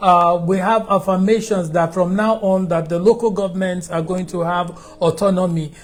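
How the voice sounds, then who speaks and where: Speaking with a Nigerian accent, a man with a high pitch shows ordinary pitch variation. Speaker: TV talk show host. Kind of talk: interview. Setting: studio.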